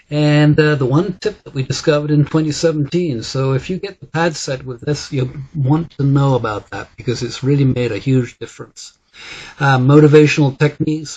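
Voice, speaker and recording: Somewhat breathy and fairly high-pitched, a man talks at a moderate pace with fairly even intonation and big swings in loudness. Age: 60s. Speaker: wellness coach and device trainer. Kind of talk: sales pitch. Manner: halting, many fillers.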